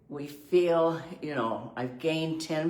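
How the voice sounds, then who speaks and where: Audible echo from the room and noticeable background noise surround a woman as she speaks. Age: 80s+. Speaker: vlogger on aging. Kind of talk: casual video monologue. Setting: indoors by a window. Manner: animated.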